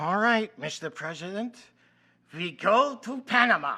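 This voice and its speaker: A man puts on a high-pitched character voice. His intonation is lively and his pace moderate. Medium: audio drama.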